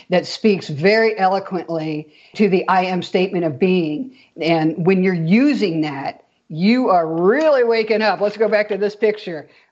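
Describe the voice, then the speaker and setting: At a moderate pace, a woman with a plain, everyday voice speaks at medium pitch with lively intonation. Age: 60s. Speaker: spiritual experiencer sharing her awakening story. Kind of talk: interview conversation.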